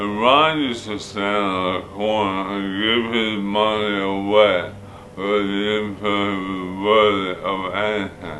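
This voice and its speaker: Over noticeable background noise and audible room echo, a man speaks at a very slow pace with fairly even intonation. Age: 60s. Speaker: war veteran. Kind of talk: testimony. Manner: halting.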